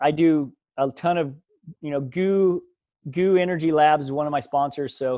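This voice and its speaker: An ordinary speaking voice from a man, fairly high in pitch, with fairly even intonation over a quiet background. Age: 40s. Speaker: ultramarathon runner. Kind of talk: casual interview.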